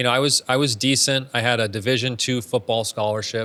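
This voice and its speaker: Using a plain, everyday voice, a man with an American accent talks at a fairly quick pace and medium pitch with fairly even intonation on a very clean recording with a silent background. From Arizona, Phoenix. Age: 30s. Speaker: real estate entrepreneur. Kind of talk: interview conversation. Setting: studio.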